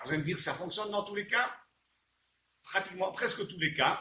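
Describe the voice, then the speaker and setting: A man's raised, projected voice, high in pitch, at a fairly quick pace with ordinary pitch variation. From Belgium. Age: 60s. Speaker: inventor selling his product. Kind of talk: sales pitch. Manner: halting, with repeated words.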